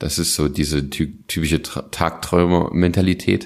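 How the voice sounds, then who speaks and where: Very slowly, a man speaks with vocal fry. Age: 20s. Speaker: podcast co-host. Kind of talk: casual chat.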